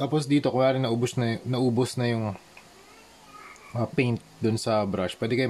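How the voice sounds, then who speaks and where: With noticeable background noise, a man of medium pitch speaks at a moderate pace with long, frequent pauses. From Philippines, Manila. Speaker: visual artist, toy customizer. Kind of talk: tutorial. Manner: casual, halting with fillers.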